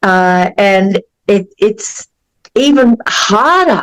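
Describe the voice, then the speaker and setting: With an Australian accent, a woman speaks at a medium pitch, the sound dry and close with no echo. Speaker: podcast host, counselor. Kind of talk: interview.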